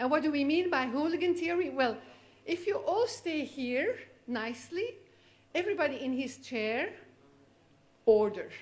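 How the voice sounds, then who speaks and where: With a Flemish accent and a high pitch, a woman speaks at a moderate pace with very wide pitch swings, long, frequent pauses and audible room echo. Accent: Belgian (Flemish) accent in English. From Belgium. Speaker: physician, cystic fibrosis specialist. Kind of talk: lecture. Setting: conference stage with audience.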